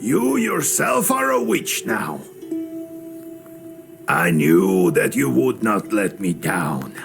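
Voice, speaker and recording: A man performs a put-on character voice at a fairly slow pace. Music plays in the background. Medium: video game. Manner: musing, folksy.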